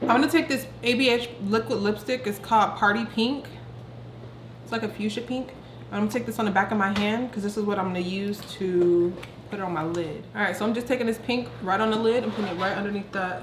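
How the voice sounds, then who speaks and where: A woman talks at a very fast pace, her medium pitch showing ordinary variation. Audible room echo and noticeable background noise fill the recording. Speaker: beauty vlogger. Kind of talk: tutorial. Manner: quiet.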